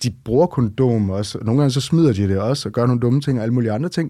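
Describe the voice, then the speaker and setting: This man talks at a very fast pace with lively intonation, his medium-pitched voice dark and mellow in tone on a very clean recording with a silent background. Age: 40s. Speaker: romance reader. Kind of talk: casual interview. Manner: hesitant, many fillers.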